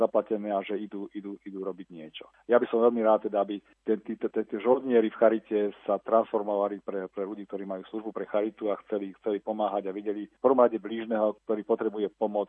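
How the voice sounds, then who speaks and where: Words come from a man at a very fast pace. His volume shows big swings in loudness. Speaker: charity director. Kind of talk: interview. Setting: phone call. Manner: halting.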